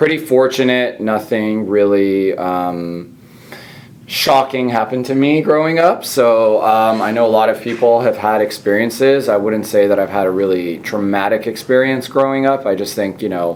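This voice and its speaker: There is noticeable background noise. A man with a Californian accent speaks at a moderate pace. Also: medium pitch for a man, ordinary pitch variation. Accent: Californian American. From Southern California (born in Iran, via Italy). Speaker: physician and podcast host. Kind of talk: casual interview chat. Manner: hesitant, many fillers.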